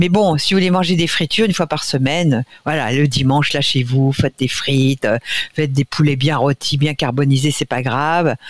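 A woman with a very deep, low pitch talks at a moderate pace, with ordinary pitch variation and very even loudness. The sound is dry and close, with no echo. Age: 60s. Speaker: nutrition expert. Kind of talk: radio interview.

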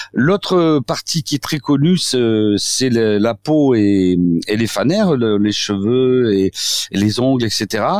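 A man at a medium pitch with a slight southwestern French accent, very slow and lively in intonation, with very even loudness and a dry, close sound with no echo. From southwestern France. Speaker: doctor, osteopath. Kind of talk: radio interview. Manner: halting, many repetitions and fillers.

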